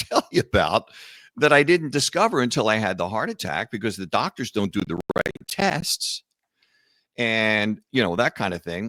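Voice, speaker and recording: A man with a Philadelphia accent talks at a moderate pace in a medium pitch with very wide pitch swings. The sound is dry and close, with no echo. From US Northeast, Philadelphia. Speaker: author and entrepreneur, heart attack survivor. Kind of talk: podcast interview. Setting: video call.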